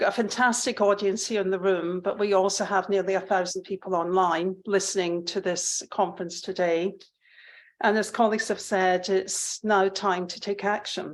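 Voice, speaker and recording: Against a quiet background, a woman with a Scottish accent talks at a medium pitch in a monotone, flat intonation. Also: moderate pace. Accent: Scottish, still noticeable. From Scotland. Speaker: public health professor. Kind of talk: conference speech. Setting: conference hall with audience.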